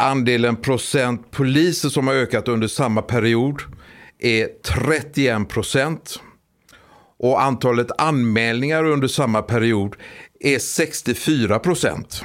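Recorded very cleanly against a silent background, a man speaks at a very slow pace with very even loudness, a medium pitch and ordinary pitch variation. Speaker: police officer. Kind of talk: interview.

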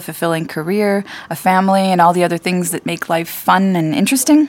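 Speaking with an American accent at a fairly quick pace, a woman has a plain, everyday voice of medium pitch with ordinary pitch variation. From United States. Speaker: podcast host and marketing director. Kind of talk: casual chat.

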